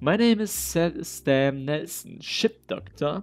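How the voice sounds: A man's put-on character voice, fairly high, with vocal fry and lively intonation at a slow pace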